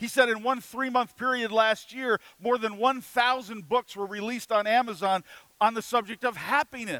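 A man speaks at an extremely high pitch in a raised, projected voice with a bright, sharp tone. His pace is moderate and his intonation fairly even, with a dry, close sound and no echo. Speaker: pastor. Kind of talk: sermon.

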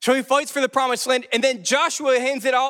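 With an extremely high pitch and a bright, sharp tone, a man uses a raised, projected voice and an animated tone at a fairly quick pace, in a dry, close sound with no echo. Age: 20s. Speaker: pastor. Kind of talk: sermon.

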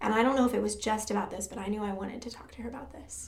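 Heard through audible room echo, a woman with an American accent speaks at a fairly high pitch with vocal fry. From Michigan, US Midwest. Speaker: church music director. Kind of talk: testimony.

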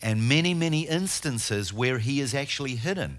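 A man with a New Zealand accent and lively intonation, on a very clean recording against a silent background. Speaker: guest preacher and tour guide. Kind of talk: sermon. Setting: church. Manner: halting.

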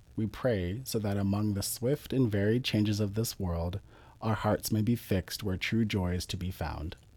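In a very clean recording with a silent background, a man with a normal speaking voice talks at a moderate pace, his fairly low pitch showing ordinary variation. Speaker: prayer leader. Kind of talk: fervent prayer. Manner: solemn, heartfelt, earnest.

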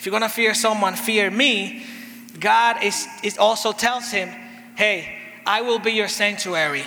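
Speaking in a raised, projected voice at a high pitch and fairly slow pace, a man keeps fairly even intonation amid noticeable background noise and audible room echo. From Dominican Republic. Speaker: pastor. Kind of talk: sermon. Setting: church. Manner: paced in short phrases for an interpreter.

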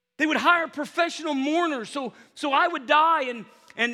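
A raised, projected voice with a bright, sharp tone and an animated tone moves at a moderate pace. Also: man. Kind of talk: sermon. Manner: animated, conversational preacher who stops to ask for audience response; casual, repeats words and stumbles into phrases, heartfelt and exhorting.

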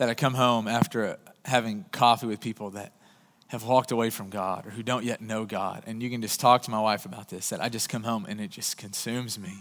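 A man's plain, everyday voice at medium pitch, fairly quick, with fairly even intonation, big swings in loudness, and a very clean recording over a silent background. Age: 30s. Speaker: pastor. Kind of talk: sermon.

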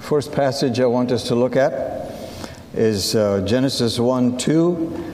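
A man's medium-pitched voice at a very slow pace, with ordinary pitch variation, very even loudness and noticeable background noise. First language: Assyrian (Syriac). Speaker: missionary speaker. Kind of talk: sermon. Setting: church service.

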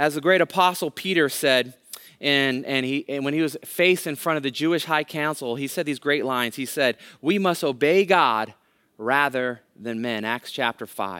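On a very clean recording with a silent background, a man with an American accent has a plain, everyday voice, speaking at a moderate pace and a fairly high pitch with ordinary pitch variation. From California, Bay Area (Hayward). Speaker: guest pastor. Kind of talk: sermon.

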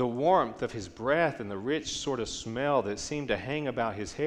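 The clip is a natural reading voice.

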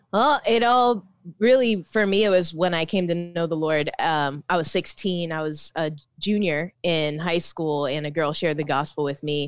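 An ordinary speaking voice from a woman, fairly low in pitch with ordinary pitch variation, at a moderate pace. The recording is very clean, with a silent background. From Philippines, raised Orlando, US. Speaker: author and poet. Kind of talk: interview.

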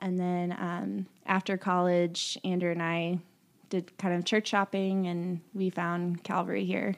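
A woman speaks in a fairly low voice at a fairly slow pace. Her intonation stays monotone and flat. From Indiana, US Midwest (born Kentucky). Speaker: kindergarten teacher, worship team singer. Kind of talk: testimony.

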